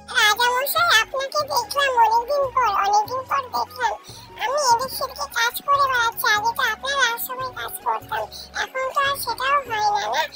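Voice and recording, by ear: An extremely high-pitched cartoonish character voice moves at a moderate pace while music plays clearly in the background.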